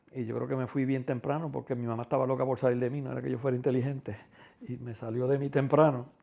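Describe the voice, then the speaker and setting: In a dark, mellow tone, a man speaks with fairly even intonation. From Puerto Rico, Quebradillas. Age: 60s. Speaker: interviewee, community figure. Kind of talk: life-story interview. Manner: hesitant, many fillers.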